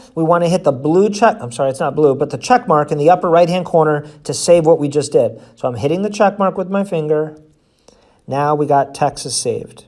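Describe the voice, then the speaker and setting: The recording is very clean, with nothing audible in the background. Speech comes fairly quickly, its pitch varying in an ordinary way. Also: man, fairly high pitch for a man. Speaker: sales trainer. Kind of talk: tutorial. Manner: fast.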